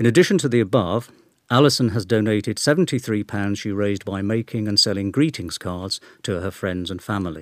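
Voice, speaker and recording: With a very clean recording and silent background, a man talks at a fairly quick pace in an ordinary speaking voice, fairly low in pitch with ordinary pitch variation. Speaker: newsletter reader. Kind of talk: reading aloud.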